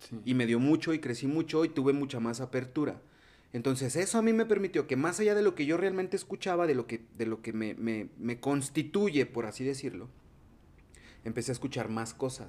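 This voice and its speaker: With a Mexican accent, a man talks at a fairly quick pace in a fairly high pitch, his intonation lively. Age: 30s. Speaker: podcast host. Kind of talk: casual chat.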